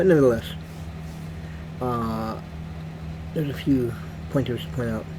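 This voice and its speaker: The voice moves through very wide pitch swings. Audible room echo and noticeable background noise fill the recording. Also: man. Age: 70s. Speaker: freestyle singer and video creator. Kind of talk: casual monologue to camera. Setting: home suite. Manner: hesitant, many filler words.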